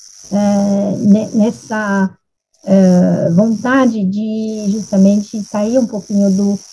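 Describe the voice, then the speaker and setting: Very slowly, a woman speaks in a dark, mellow, somewhat breathy tone at medium pitch with flat, monotone intonation. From France. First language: French (speaking Portuguese). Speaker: nutrition expert. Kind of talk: panel discussion.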